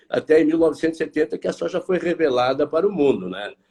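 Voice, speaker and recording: The man's fairly high voice has a dark, mellow tone and vocal fry. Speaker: market analyst, consultancy director. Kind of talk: live stream interview. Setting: online live stream. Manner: hesitant, repeats words.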